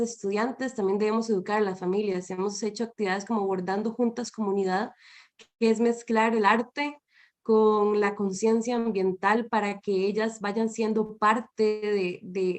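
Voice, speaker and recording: At a fairly slow pace, a woman talks in a fairly high voice with fairly even intonation over a quiet background. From Costa Rica. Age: 20s. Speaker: environmental educator. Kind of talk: panel talk. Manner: halting.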